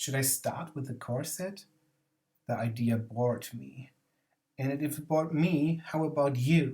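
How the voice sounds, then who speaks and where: A man with a German accent and a dark, mellow, somewhat breathy tone speaks at a fairly slow pace with long, frequent pauses. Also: fairly high pitch for a man, ordinary pitch variation. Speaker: board game video essayist. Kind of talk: scripted narration.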